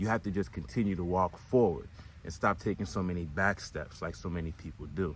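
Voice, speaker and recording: A man speaks very fast in an American accent. His very deep, low pitch has vocal fry and ordinary variation. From United States. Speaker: spiritual coach. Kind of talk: motivational talk.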